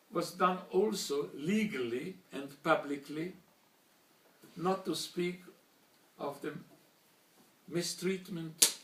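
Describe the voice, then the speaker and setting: A man speaks at a very slow pace with long, frequent pauses and ordinary pitch variation. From Slovakia, Bratislava (then Czechoslovakia), later Hungary. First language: German. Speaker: Holocaust survivor. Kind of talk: testimony speech. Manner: formal.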